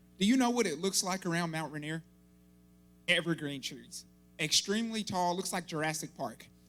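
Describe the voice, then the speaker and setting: With music in the background, a man speaks at a high pitch with ordinary pitch variation and long, frequent pauses. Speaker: army officer giving a church talk. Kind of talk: sermon. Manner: fast.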